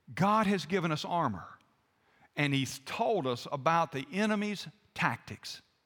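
A man with a Southern US accent speaks at a fairly slow pace in a high pitch, his bright, sharp tone carried by lively intonation. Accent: Southern American. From US South. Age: 60s. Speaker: pastor. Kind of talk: sermon.

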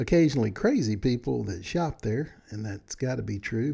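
Recorded very cleanly against a silent background, the voice has a warm, dark and mellow tone with vocal fry and moves at a fairly quick pace. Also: man. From Texas. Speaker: podcast host. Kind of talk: casual solo podcast monologue. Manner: friendly, warm, conversational.

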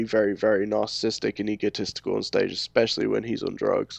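A man speaks with a London accent. The sound is dry and close, with no echo. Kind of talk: casual chat.

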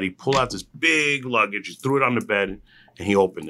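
Over a very clean, silent background, a man with a New Jersey accent talks fairly quickly in a bright, sharp tone with lively intonation. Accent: New Jersey American. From New Jersey, Union County (Hillside, Newark). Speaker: food truck and restaurant entrepreneur. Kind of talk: interview. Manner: casual, with many filler words.

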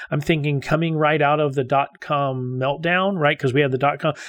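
In an ordinary speaking voice, a man talks with fairly even intonation and a fairly high pitch against a quiet background. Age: 50s. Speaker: podcast host, data center executive. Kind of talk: interview.

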